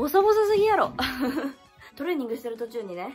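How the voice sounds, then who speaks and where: The speaker talks at a very fast pace. Faint music plays in the background. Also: woman. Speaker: vlogger. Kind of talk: casual vlog chat. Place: home room. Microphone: phone near.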